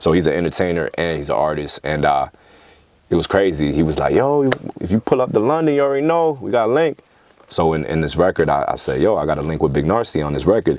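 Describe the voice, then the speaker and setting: In a New York accent, a man with a very deep, low pitch talks very fast with very wide pitch swings. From New York, Queens (East Elmhurst). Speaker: rapper. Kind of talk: casual interview chat. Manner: animated.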